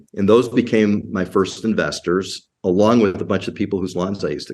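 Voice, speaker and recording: At a fairly quick pace, an American accent comes through in an unremarkable speaking voice whose intonation stays fairly even. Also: man, fairly low pitch for a man. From US Midwest, Chicago suburbs. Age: 60s. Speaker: industrial real estate investor. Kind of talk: podcast interview.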